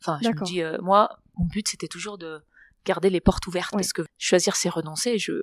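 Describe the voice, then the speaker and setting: Moving at a fairly quick pace, this female voice sits at a medium pitch. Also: big swings in loudness. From Barcelona, Spain. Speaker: adventurer, kitesurfer. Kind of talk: interview answer. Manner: calm, poised, laughs spontaneously.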